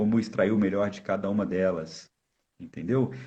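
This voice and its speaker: Vocal fry runs through a man's fairly low voice, which has lively intonation. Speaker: volleyball coach and university lecturer. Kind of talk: live stream interview. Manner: fast; halting, repeated false starts.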